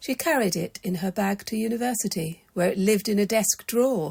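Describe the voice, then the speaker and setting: A woman's calm, soothing, somewhat breathy voice at a fairly slow pace, with ordinary pitch variation and a dry, close sound with no echo. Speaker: storyteller. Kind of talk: bedtime story reading.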